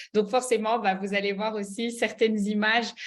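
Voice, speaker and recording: A woman with a Belgian accent, at a fairly slow pace. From Belgium, Liège. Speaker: network marketing mentor. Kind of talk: online mentoring presentation. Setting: video call. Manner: hesitant, many fillers.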